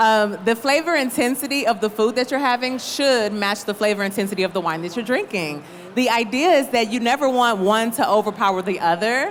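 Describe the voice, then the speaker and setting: Over noticeable background noise, a woman with a fairly high pitch talks at a moderate pace with ordinary pitch variation. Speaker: winemaker. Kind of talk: panel discussion. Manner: loud.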